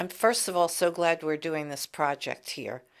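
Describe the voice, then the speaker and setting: A woman's fairly low voice with a New York accent and ordinary pitch variation, in a very clean recording with a silent background. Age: 60s. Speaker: interviewer, family member. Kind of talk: oral history interview. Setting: library recording booth.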